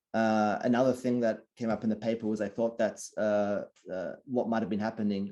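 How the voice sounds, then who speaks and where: A man with an Australian accent, a dark, mellow tone and a quiet background. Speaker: sleep researcher. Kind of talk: Q&A at online talk.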